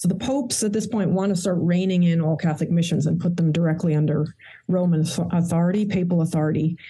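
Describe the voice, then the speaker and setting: With an American accent, the voice has a dark, mellow tone, is somewhat breathy, and shows ordinary pitch variation. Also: woman. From Queens, New York. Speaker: historian and author. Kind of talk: interview.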